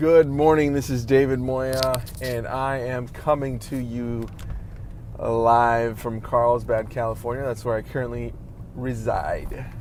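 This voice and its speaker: With monotone, flat intonation, a man speaks at medium pitch and a fairly slow pace. Room echo is audible and background noise is noticeable. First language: Spanish. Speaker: vlogger. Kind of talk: casual vlog monologue. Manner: halting, many fillers and restarts.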